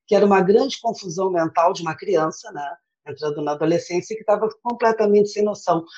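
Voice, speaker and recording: Pitched at a medium level with ordinary variation, this woman has a plain, everyday voice. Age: 50s. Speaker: volunteer teacher and former smoker. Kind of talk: interview testimony.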